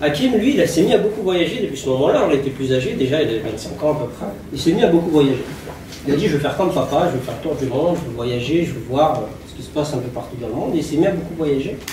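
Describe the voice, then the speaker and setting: Over noticeable background noise and audible room echo, a man with a fairly high pitch talks very fast with lively intonation. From France, Lyon area (Vénissieux). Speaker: former jihadist giving testimony. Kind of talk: testimony. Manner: hesitant, many fillers.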